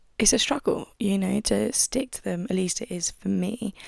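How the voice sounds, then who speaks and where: A woman with a British accent speaks quietly at a fairly slow pace. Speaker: podcaster. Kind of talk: casual monologue podcast. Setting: at home desk.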